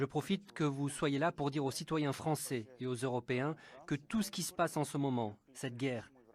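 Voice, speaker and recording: An ordinary speaking voice at a moderate pace, with ordinary pitch variation, a dry, close sound with no echo, and a very clean recording with a silent background. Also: man. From Russia. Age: 60s. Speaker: opposition politician. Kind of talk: interview testimony. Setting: at home.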